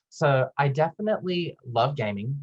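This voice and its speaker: A man talks in a Southern US accent. His voice is somewhat breathy, with lively intonation. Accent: Southern US, persistent. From US South. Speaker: pharmacist and admissions director. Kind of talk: presentation. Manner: animated.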